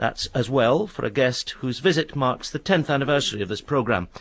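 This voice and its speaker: The speaker has a normal speaking voice with lively intonation. The pace is fairly quick. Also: man. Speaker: radio presenter. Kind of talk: radio programme introduction.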